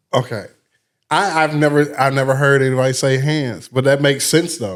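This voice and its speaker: Here is a man with an American accent and an ordinary speaking voice, pitched fairly high. He talks at a fairly quick pace with ordinary pitch variation. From Missouri, St. Louis. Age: 40s. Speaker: radio personality and nightclub host. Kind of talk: casual chat.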